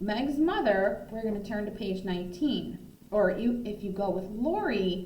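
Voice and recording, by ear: A natural voice reading text aloud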